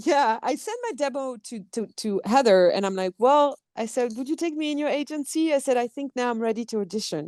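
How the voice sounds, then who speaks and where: With a slight French accent, a woman talks at a fairly quick pace with hardly any pauses, her pitch high and her intonation lively. The sound is dry and close, with no echo. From France. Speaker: actress. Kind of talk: interview conversation.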